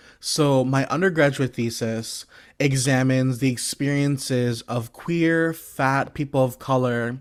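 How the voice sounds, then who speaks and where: A man with a normal speaking voice and an American accent, medium in pitch, fairly even in intonation, at a fairly slow pace. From US Northeast, Brooklyn, New York. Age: 20s. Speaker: PhD student and guest lecturer. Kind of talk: lecture. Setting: video call.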